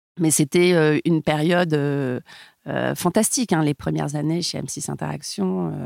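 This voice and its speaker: Fairly slow and lively in intonation, a woman with a very deep, low voice speaks in a dry, close sound with no echo. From southern France, Montpellier, then Paris from adolescence. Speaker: music label brand partnerships executive. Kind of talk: interview conversation. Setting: recording studio. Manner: dynamic and enthusiastic.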